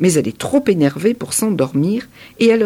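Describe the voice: The reading aloud is plain, yet the intonation stays lively.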